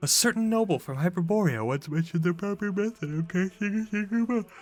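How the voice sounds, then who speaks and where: A put-on character voice at middle pitch, delivered at a very fast pace. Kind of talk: formal, archaic.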